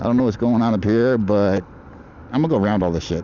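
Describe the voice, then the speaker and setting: Fairly low male speech at a very fast pace, with ordinary pitch variation and noticeable background noise. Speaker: food delivery rider and livestreamer. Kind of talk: live stream while riding. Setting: outdoors on an e-bike in traffic.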